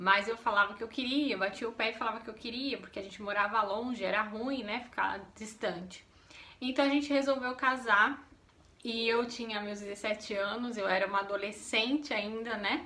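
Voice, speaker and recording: A woman with an unremarkable speaking voice talks at a moderate pace. Her fairly high pitch follows a fairly even intonation. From São Paulo state, Brazil. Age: 30s. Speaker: vlogger. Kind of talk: casual chat.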